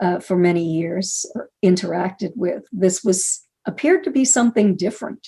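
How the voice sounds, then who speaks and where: Her voice is medium in pitch, dark and mellow, somewhat breathy, as the woman speaks at a fairly slow pace. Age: 70s. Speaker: UFO researcher and author. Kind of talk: interview testimony. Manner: halting with frequent fillers.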